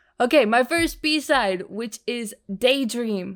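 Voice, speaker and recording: A woman talks at a fairly slow pace. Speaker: music reaction youtuber. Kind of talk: casual reaction commentary. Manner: halting, many fillers.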